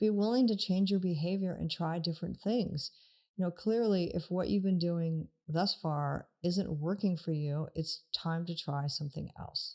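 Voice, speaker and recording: On a very clean recording with a silent background, a woman speaks at a fairly slow pace in a fairly low, dark, mellow voice with ordinary pitch variation. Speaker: marriage and family therapist. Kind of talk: podcast talk on emotional health.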